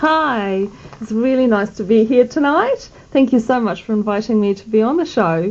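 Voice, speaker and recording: Against noticeable background noise, a woman at a fairly high pitch speaks at a moderate pace with lively intonation. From South Africa, Pretoria. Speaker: midwifery student. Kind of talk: radio interview. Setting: radio studio.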